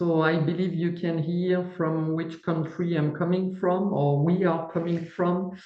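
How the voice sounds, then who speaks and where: A woman's fairly low voice with a French accent, fairly slow and almost without pauses, flat and monotone, at very even loudness, amid noticeable background noise and audible room echo. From France, east near Strasbourg. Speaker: company CEO and paper engineer. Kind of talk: webinar presentation.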